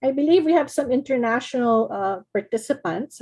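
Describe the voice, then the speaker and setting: A woman speaks in a somewhat breathy voice with a dark, mellow tone, ordinary pitch variation and a moderate pace. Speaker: card-making design team member demonstrating. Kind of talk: craft tutorial demo.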